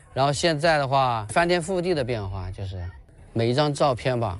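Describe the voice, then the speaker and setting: A man at medium pitch with lively intonation and a moderate pace, music in the background and audible room echo. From rural Quzhou, Zhejiang. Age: 30s. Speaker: primary school PE teacher. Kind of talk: interview. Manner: casual, with fillers.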